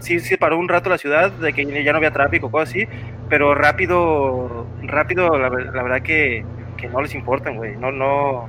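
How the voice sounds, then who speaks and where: A man's pitch shifts in a normal way as noticeable background noise plays underneath. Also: moderate pace. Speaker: podcast panel member. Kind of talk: casual chat.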